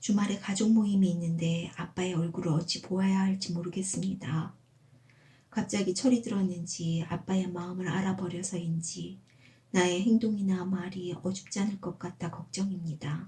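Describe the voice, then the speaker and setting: Speaking at a moderate pace, a woman has a normal speaking voice, medium in pitch with fairly even intonation. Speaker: amateur writer reading own essay. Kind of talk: personal essay audiobook reading. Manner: calm, gentle.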